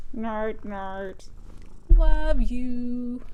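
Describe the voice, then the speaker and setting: Over clear background noise, a woman puts on a character voice at a high pitch. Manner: cutesy, affectionate.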